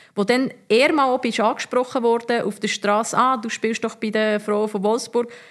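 Fairly high in pitch, a woman with an unremarkable speaking voice talks at a moderate pace with hardly any pauses. Her intonation is fairly even. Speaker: former professional footballer. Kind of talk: casual interview.

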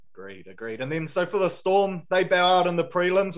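This man speaks with a New Zealand accent. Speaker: sports podcast host. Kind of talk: casual sports chat.

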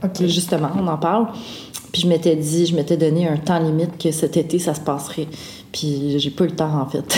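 A woman talks at a moderate pace with a very deep, low pitch. Noticeable background noise is present. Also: fairly even intonation. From Quebec, Wendat, raised outside Wendake. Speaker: folk singer-songwriter. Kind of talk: casual interview.

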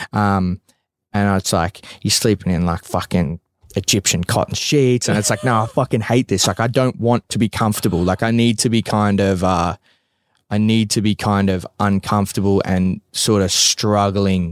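On a very clean recording with a silent background and a dry, close sound with no echo, a man with an Australian accent speaks at a moderate pace, at fairly low pitch, with fairly even intonation and very even loudness. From Australia, Bacchus Marsh near Melbourne. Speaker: mixed martial arts fighter. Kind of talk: casual chat. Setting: in a van.

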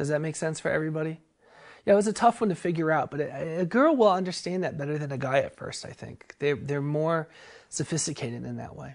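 Very fast pace with ordinary pitch variation. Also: woman, very deep, low pitch for a woman, big swings in loudness. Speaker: spiritual author and teacher. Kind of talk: casual talk on spirituality. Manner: halting, filler-heavy.

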